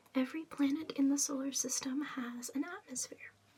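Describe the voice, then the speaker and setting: Whispering and soft-spoken, a woman talks at a moderate pace. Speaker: ASMR content creator. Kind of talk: ASMR rambling facts, reading aloud. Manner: whispered, soft-spoken.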